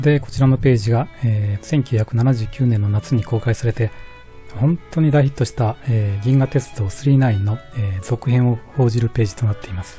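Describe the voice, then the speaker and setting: A man at a very fast pace, ordinary pitch variation, music playing in the background. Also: medium pitch for a man. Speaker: shop owner. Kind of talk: casual talk about collectibles.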